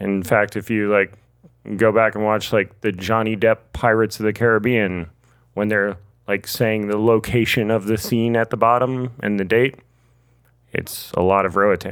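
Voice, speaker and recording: A man with an American accent at a moderate pace, fairly low pitch and monotone, flat intonation, on a very clean recording with a silent background. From United States. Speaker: guest who moved abroad and survived a robbery. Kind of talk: casual chat.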